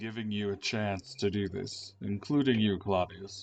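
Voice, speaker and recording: Putting on a character voice, a man talks at a moderate pace and a fairly low pitch, his loudness swinging widely. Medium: actual play. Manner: cryptic, lofty.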